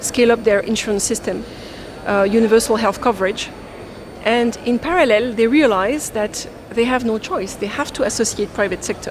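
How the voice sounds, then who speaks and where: A woman with a French accent talks at a moderate pace with a fairly high pitch, over noticeable background noise. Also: ordinary pitch variation. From France. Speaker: development finance expert. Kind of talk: fireside chat panel discussion.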